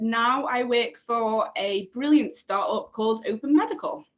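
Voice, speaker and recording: A woman's high-pitched voice in a Liverpool accent. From England, Liverpool. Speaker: researcher. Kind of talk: casual chat.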